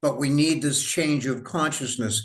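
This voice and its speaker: Here a man talks at a moderate pace in a fairly high pitch. He has a normal speaking voice. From United States. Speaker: writer and historian interviewer. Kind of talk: interview conversation.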